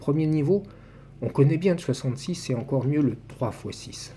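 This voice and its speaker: Here is a man with an ordinary speaking voice. He talks at a moderate pace with ordinary pitch variation. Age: 60s. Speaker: numerology commentator. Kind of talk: personal video monologue.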